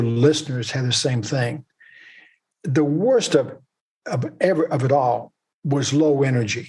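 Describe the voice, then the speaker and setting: A man speaks at a moderate pace in a fairly high, somewhat breathy voice with ordinary pitch variation. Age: 80s+. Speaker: author and retired investment executive. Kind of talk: podcast interview.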